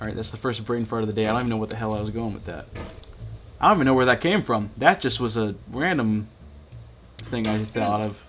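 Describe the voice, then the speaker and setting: With music in the background, a man at a medium pitch talks at a fairly quick pace, with long, frequent pauses and big swings in loudness. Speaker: gaming streamer. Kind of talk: gameplay commentary.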